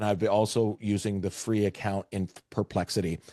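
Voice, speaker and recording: Against a quiet background, a man with a Canadian accent speaks at a moderate pace in a fairly low voice, dark and mellow in tone, with a dry, close sound and no echo. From Canada, Vancouver area. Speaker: real estate AI trainer. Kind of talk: webinar presentation.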